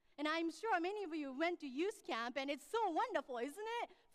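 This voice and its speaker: Speaking with a Japanese accent, a woman talks at a fairly quick pace. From Japan, Tokyo. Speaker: pastor. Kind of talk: sermon.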